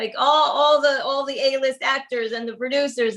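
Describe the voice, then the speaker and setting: Speaking with a New York accent, a woman keeps a fairly quick pace. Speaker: cookbook author and baker. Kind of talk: casual interview chat. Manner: halting, many fillers and repeats.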